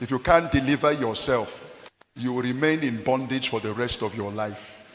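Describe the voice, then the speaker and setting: There is noticeable background noise as a man speaks at a medium pitch. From Nigeria. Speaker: pastor. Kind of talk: sermon.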